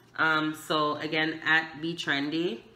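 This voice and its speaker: A woman speaks in a very deep, low pitch with a monotone, flat intonation. There is audible echo from the room. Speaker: thrift reseller. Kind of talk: casual chat.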